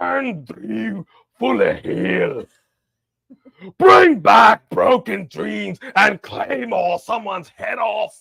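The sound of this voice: A man puts on a raspy character voice in a Scottish accent, raised and projected. He speaks at a very slow pace.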